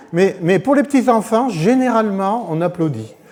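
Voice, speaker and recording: Over noticeable background noise, a man speaks at a moderate pace in a high pitch. His intonation is lively. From Corsica. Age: 60s. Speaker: churchgoer giving testimony. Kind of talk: testimony. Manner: halting.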